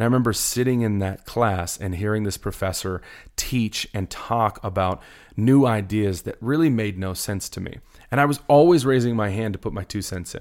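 Fairly low in pitch, a man talks at a moderate pace with ordinary pitch variation. It is an ordinary speaking voice on a very clean recording with a silent background. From US suburbs. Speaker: pastor. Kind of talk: casual chat.

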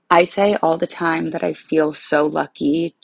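A woman at a fairly slow pace, in a dry, close sound with no echo. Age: 20s. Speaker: listener sending a voice note. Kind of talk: recorded voice note.

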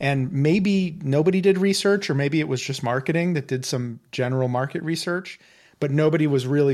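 A man with an ordinary speaking voice, fairly high in pitch, with ordinary pitch variation, on a very clean recording with a silent background. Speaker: podcast host and executive coach. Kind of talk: interview.

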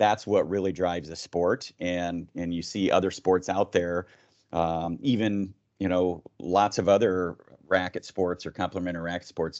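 Here a man speaks in a very deep, low pitch. His pace is fairly slow and his intonation fairly even. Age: 50s. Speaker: tennis organization director, former player and coach. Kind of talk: interview podcast.

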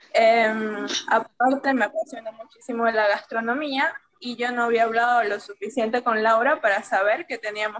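A woman with a normal speaking voice, fairly high in pitch, fairly slow and fairly even in intonation. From Venezuela. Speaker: illustrator, language teacher. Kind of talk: casual interview chat.

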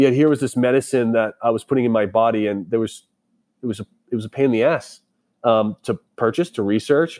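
A man with a normal speaking voice and an American accent talks at a fairly quick pace and medium pitch with ordinary pitch variation, recorded very cleanly over a silent background with a dry, close sound and no echo. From Boston, US. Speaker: tech startup founder and army veteran. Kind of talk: interview.

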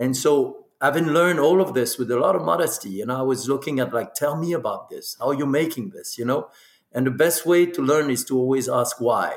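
A man with a French accent talks at a fairly quick pace, his fairly high pitch moving with ordinary variation. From Burgundy, France. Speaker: spirits producer and master blender. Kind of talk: casual interview. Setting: video call.

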